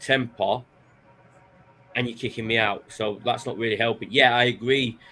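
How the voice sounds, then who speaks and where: A man at a medium pitch and moderate pace, fairly even in intonation, with long, frequent pauses and music in the background. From northern England, Manchester. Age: 30s. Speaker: podcaster. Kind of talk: casual interview chat.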